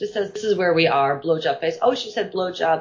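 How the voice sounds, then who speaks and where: A woman with a plain, everyday voice talks at a medium pitch with lively intonation. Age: 40s. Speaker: burlesque performer. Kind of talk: casual chat.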